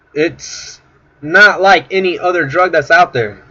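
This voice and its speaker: A man's high-pitched voice is heard through noticeable background noise. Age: 20s. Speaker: recovering addict. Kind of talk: personal testimony to camera.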